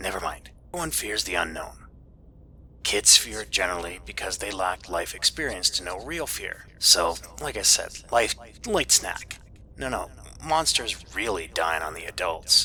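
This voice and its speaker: A man puts on a raspy character voice with a fairly low pitch, speaking at a moderate pace over clear background noise. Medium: read story. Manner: casual, chatty, sarcastic.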